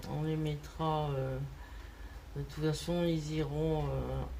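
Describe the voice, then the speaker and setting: Noticeable background noise accompanies a woman who speaks very slowly. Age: 60s. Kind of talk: casual talk to camera.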